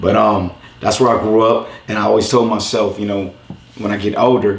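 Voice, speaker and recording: With noticeable background noise, a man speaks fairly quickly in fairly low pitch, his tone animated. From Los Angeles, east side. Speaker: YouTube content creator. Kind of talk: interview. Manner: casual, animated.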